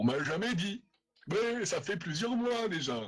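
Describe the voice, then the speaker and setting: Using a put-on character voice, a man talks at a moderate pace in a high pitch with very wide pitch swings. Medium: actual play.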